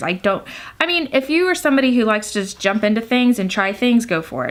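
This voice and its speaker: A woman talking at a very fast pace with very wide pitch swings over noticeable background noise. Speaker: parenting vlogger. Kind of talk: casual vlog talk.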